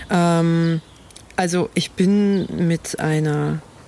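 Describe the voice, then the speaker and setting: Noticeable background noise sits behind a woman whose voice is very deep and low, with ordinary pitch variation. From rural eastern Germany (former GDR). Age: young. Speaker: blind podcast co-host. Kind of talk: casual chat. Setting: outdoors.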